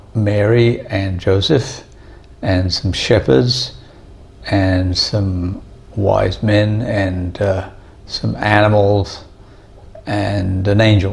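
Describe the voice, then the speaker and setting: A man's fairly low voice at a very slow pace, with fairly even intonation and long, frequent pauses. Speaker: home vlogger. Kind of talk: casual vlog chat. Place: home room.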